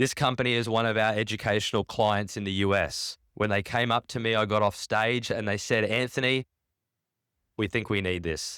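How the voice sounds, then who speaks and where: On a very clean recording with a silent background, a man's fairly low voice has a bright, sharp and animated tone. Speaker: conference keynote speaker. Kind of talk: keynote talk. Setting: stage with audience. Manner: fast.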